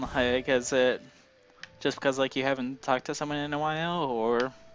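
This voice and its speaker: Over music in the background, a man speaks at a moderate pace with a fairly high pitch and fairly even intonation. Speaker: stream co-host. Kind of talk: casual chat. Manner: stutters, fumbles words.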